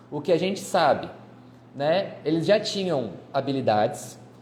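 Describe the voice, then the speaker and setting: The voice has a dark, mellow tone and lively intonation at a fairly slow pace. Audible room echo surrounds it. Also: man. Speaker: history teacher. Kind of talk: lecture. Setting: live stream.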